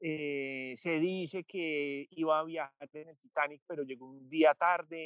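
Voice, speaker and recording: Very slow and with hardly any pauses, a man speaks at a fairly high pitch in a monotone, flat intonation, his loudness swinging widely, in a dry, close sound with no echo. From Colombia, Medellín. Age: 30s. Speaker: journalist and author. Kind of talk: interview. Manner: frequent hesitations and repetitions.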